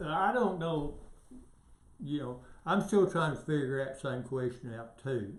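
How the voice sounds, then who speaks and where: A man speaks with a Southern US accent, somewhat breathy. Audible room echo is present. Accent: Southern US (Georgia). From US South, northwest Georgia. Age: 60s. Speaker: local political candidate. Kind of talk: interview. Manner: halting.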